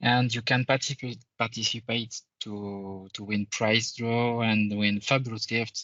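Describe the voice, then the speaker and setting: A man with a French accent talks at a fairly slow pace, his medium-pitched voice monotone and flat. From France. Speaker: conference presenter, IT consultant. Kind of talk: conference presentation. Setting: virtual conference, screen sharing. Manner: halting, many fillers.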